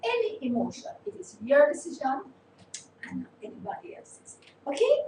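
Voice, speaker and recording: At a moderate pace, a woman speaks with a high pitch that swings very widely. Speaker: online talk show host. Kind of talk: motivational talk. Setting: live stream.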